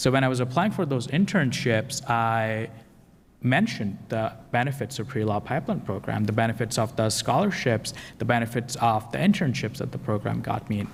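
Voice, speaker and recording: A man talks at a moderate pace with vocal fry. His pitch is medium, with ordinary variation. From Pakistan. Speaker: law student. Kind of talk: panel discussion.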